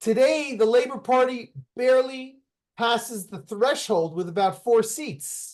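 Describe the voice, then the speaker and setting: This man's voice sits at an extremely high pitch, with ordinary pitch variation. He talks at a fairly slow pace against a quiet background. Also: big swings in loudness. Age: 60s. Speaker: activist and company founder. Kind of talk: interview conversation. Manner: halting, many restarts.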